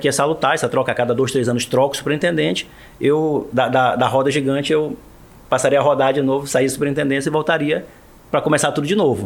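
This man talks at a fairly quick pace in a fairly high pitch. His is an unremarkable speaking voice. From Marajó, Pará, Brazil. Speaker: state public security secretary, federal police delegate. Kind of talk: interview.

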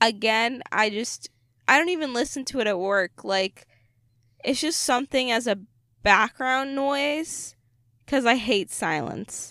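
Over a silent background on a very clean recording, a woman with a high-pitched, bright, sharp voice and lively intonation speaks at a fairly slow pace with long, frequent pauses, the sound dry and close with no echo. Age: 20s. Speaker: podcast co-host. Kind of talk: casual chat. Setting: in a parked car.

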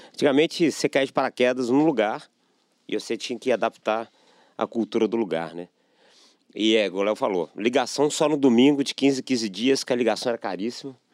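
A man speaks at a fairly quick pace in an ordinary speaking voice, medium in pitch with ordinary pitch variation, on a very clean recording with a silent background and a dry, close sound with no echo. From Belo Horizonte, Minas Gerais, Brazil. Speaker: sales executive. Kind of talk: casual interview chat.

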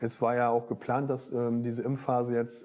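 With monotone, flat intonation, a man speaks in a dark, mellow tone. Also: very clean recording, silent background. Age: 30s. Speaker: intensive care nurse. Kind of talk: interview.

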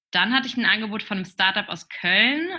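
Woman at a moderate pace with ordinary pitch variation. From northern Germany, near Flensburg. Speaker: startup founder. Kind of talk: interview. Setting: remote recording. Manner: halting, many fillers. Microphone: connection froze briefly.

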